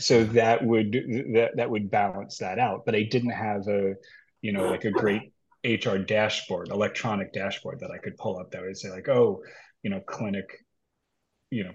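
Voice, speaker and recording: A man's plain, everyday voice, fairly low in pitch, at a moderate pace with fairly even intonation over a quiet background. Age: 50s. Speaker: healthcare HR executive. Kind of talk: casual chat.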